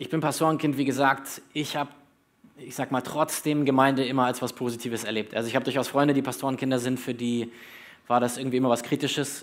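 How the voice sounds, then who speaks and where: This man talks at a fairly quick clip in a medium pitch with flat, monotone intonation, broken by long and frequent pauses. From Germany, Berlin (born in northern Hesse). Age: 30s. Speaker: pastor. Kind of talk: sermon.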